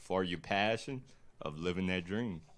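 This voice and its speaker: This man has a strong Louisiana accent. His voice sits fairly low. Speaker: boat captain and clothing brand founder. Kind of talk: casual chat. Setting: live stream podcast.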